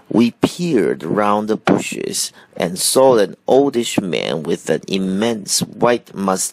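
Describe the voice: The reading aloud is plain, yet the intonation stays lively.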